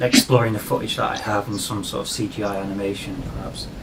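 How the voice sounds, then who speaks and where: A man with a northern English accent talks at a fairly quick pace and a fairly low pitch. Audible room echo and noticeable background noise come through. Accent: northern English, getting stronger. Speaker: digital artist and vlogger. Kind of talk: casual conversation about art.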